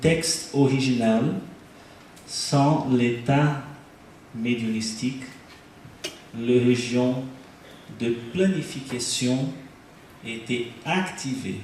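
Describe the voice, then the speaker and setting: A man with a non-native accent speaks at a very slow pace and medium pitch, leaving long, frequent pauses. Audible room echo surrounds his voice. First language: Portuguese (speaking French). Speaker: researcher presenting neuroimaging study. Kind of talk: conference lecture. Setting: stage with audience at congress. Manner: halting, hesitant.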